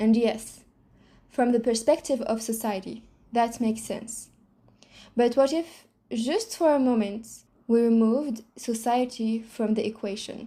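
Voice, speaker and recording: With a non-native accent, a woman speaks at a fairly high pitch in a dark, mellow tone, taking long, frequent pauses. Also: fairly even intonation, fairly slow pace. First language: not English. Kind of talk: reflective monologue to camera.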